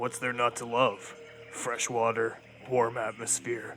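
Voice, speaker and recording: Someone talks in a put-on character voice at a fairly slow pace over clear background noise. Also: man, medium pitch for a man. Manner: sarcastic, laid-back.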